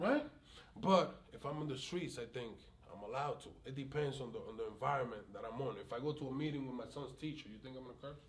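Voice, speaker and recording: A man talks very fast at a medium pitch, with ordinary pitch variation and big swings in loudness. Audible room echo surrounds his voice. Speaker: community activist with police conflicts. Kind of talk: interview conversation. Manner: animated, sometimes shouting.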